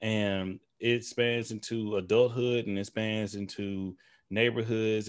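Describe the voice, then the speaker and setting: A man with a normal speaking voice and a fairly low pitch talks with fairly even intonation in a very clean recording with a silent background. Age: 30s. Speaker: podcast host appearing as guest. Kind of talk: casual chat.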